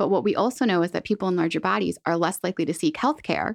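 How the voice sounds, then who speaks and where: With vocal fry and lively intonation, a woman at a fairly low pitch speaks at a very fast pace, the sound dry and close with no echo against a quiet background. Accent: General American. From central Pennsylvania. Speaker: dietitian. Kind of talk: interview.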